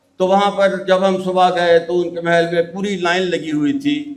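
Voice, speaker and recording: A man speaks at a high pitch. Audible room echo can be heard. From Punjab, Pakistan. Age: 80s+. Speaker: geoscientist. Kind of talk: speech at a ceremony. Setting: stage with audience. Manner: halting.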